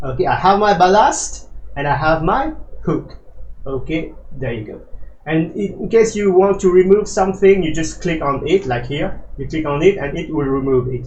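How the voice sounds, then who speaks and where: A man with a non-native accent talks at a moderate pace in a high voice, his intonation lively and his loudness swinging widely, with audible room echo and noticeable background noise. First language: not English. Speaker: flight simulator tutorial creator. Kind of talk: tutorial. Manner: hesitant, many fillers.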